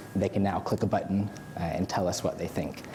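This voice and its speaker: A man with an American accent speaks at a fairly quick pace in a very deep, low pitch. Noticeable background noise is present. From United States. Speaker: content designer and user researcher. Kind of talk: conference talk. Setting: stage with audience. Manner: hesitant fillers.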